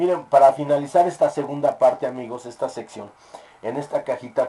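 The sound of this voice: A man's dark, mellow tone with audible room echo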